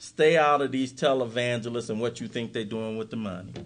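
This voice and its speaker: This man has a plain, everyday voice at a medium pitch. He keeps a moderate pace with ordinary pitch variation. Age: 50s. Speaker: recovery speaker. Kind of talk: workshop talk.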